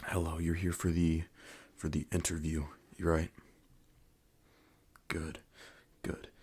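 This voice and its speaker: A soft-spoken man whispering, somewhat breathy, with long, frequent pauses. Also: very clean recording, silent background. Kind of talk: ASMR roleplay interview, personal attention. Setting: binaural microphone recording. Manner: soft-spoken, whispered.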